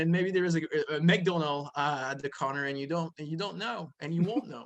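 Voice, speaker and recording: In a French accent, a man talks at a fairly quick pace and a high pitch, his loudness swinging widely. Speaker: comic book publisher. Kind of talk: casual interview. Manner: animated.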